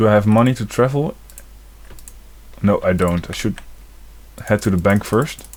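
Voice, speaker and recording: This voice has a non-native accent. It moves at a moderate tempo. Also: man. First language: not English. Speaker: gaming video creator. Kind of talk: let's play commentary. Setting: home recording with facecam. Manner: casual, hesitant.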